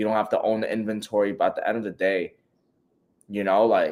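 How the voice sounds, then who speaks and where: A man speaks with a New York accent. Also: very clean recording, silent background. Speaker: e-commerce coach. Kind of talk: live Q&A stream. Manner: animated.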